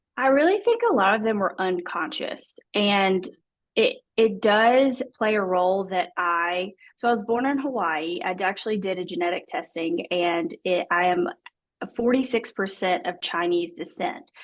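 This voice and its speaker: A woman's intonation is lively while her pace stays moderate. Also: medium pitch for a woman. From US South, small-town Alabama. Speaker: adoptee guest. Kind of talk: interview testimony.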